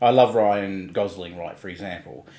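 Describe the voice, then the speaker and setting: A man speaks at a moderate pace in a rural Australian accent. The recording is very clean with a silent background. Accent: broad rural Australian. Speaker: livestream co-host. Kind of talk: casual chat.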